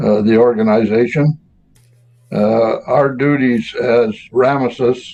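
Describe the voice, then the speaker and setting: A man is speaking. His voice sits at a medium pitch. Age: 70s. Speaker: retired forest industry worker, fraternal order past president. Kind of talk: interview. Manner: halting, many fillers.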